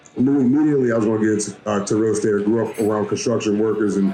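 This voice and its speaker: A man with an American accent at medium pitch, with ordinary pitch variation and music in the background. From US South, New Orleans, Louisiana. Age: 20s. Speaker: commercial real estate broker, meetup organizer. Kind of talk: event introduction. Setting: meetup with live audience. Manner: hesitant, many fillers.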